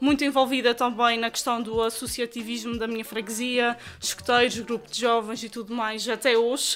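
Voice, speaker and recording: Fairly high female voice against noticeable background noise. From Azores, Terceira island. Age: 20s. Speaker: journalist and TV presenter. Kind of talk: casual interview. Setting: recorded in a shop.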